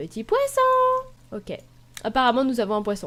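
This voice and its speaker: A woman's high-pitched voice at a moderate pace. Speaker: gaming youtuber. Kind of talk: gameplay tutorial. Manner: casual, hesitant fillers.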